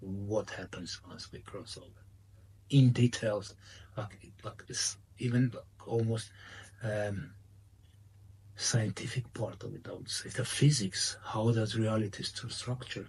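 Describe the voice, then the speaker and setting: Speaking with a non-native accent, a somewhat breathy man goes at a fairly slow pace, taking long, frequent pauses amid big swings in loudness. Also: medium pitch for a man, fairly even intonation. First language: not English. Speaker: spiritual medium and author. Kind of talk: interview. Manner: halting.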